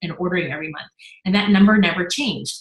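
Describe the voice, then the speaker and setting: Her voice, a woman's, sits at a medium pitch. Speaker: network marketing business leader. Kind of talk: Q&A session. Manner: fast.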